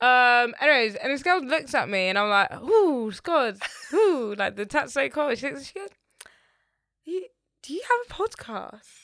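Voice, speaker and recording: A woman with a London accent speaks at a moderate pace in a high pitch and a bright, sharp tone, with very wide pitch swings and big swings in loudness. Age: 20s. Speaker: podcast co-host. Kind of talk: casual chat.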